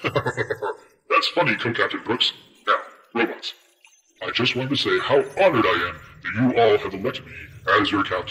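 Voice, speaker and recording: A put-on character voice moves at a fairly quick pace, broken by long, frequent pauses. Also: man, medium pitch for a man. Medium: audio drama. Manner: pompous, self-important.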